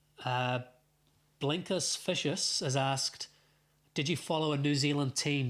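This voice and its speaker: A fairly high-pitched man with a Welsh accent at a fairly slow pace, on a very clean recording with a silent background. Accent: noticeable accent (Welsh). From Wales, Wrexham. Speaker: football fan streamer. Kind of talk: live watchalong chat. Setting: live stream. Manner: hesitant, many fillers.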